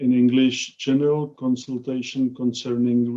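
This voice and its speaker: With a non-native accent, a man talks in a dark, mellow tone and a flat, monotone intonation. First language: Czech. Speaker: professor. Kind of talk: lecture. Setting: video call. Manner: slow; halting.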